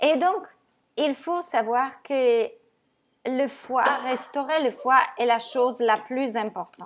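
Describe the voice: A woman with a high pitch speaks at a slow pace. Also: ordinary pitch variation.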